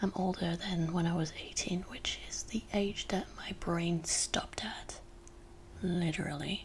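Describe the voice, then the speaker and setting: Against noticeable background noise, a woman speaks at a fairly low pitch in a monotone, flat intonation. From France. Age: 20s. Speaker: ASMR youtuber. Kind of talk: ASMR rambling. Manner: soft-spoken.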